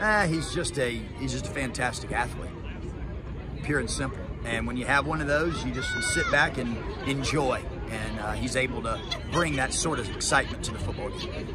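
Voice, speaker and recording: A man talks at a fairly quick pace over music in the background. The sound is dry, with no echo. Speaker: head football coach. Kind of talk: interview answer. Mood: pleased after a big win. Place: stadium. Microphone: phone near.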